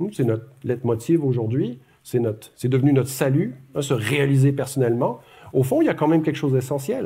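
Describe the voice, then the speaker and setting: In a Quebec accent, a somewhat breathy voice with a dark, mellow tone moves at a fairly quick pace with ordinary pitch variation. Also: man. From Quebec, Montreal. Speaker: academic speaker. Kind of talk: public lecture. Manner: conversational, with many hesitations.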